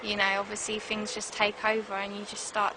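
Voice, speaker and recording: A woman speaks at a fairly quick pace, her pitch in the medium range. Noticeable background noise runs underneath. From south London, England (Croydon). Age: 20s. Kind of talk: interview testimony. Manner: hesitant, many fillers.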